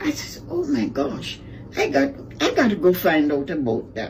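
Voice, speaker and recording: Over noticeable background noise, a woman's speech proceeds fairly slowly. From Jamaica. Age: 80s+. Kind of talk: interview answer.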